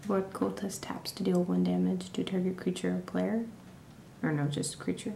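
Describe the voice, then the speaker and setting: Soft-spoken, the speaker is whispering. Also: woman. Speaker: ASMR creator. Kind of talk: ASMR hobby show-and-tell. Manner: whispered; quiet, soft-spoken.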